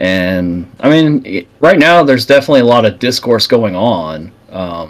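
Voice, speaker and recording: Loud and with hardly any pauses, a man speaks at a medium pitch with very wide pitch swings. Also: moderate pace. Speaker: podcast co-host. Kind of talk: casual political chat. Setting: live stream.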